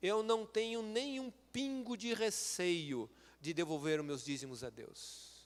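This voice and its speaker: Swinging his pitch very widely, a man talks very slowly. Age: 60s. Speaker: lay preacher and medical school professor. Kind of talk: sermon. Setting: church.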